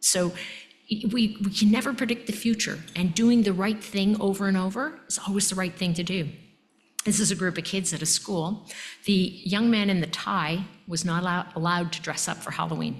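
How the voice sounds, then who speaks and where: A woman talks at a moderate pace with a medium pitch and ordinary pitch variation. Her voice is somewhat breathy, and the room echo is audible. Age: 60s. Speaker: emergency physician and medical education leader. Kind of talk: lecture. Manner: animated.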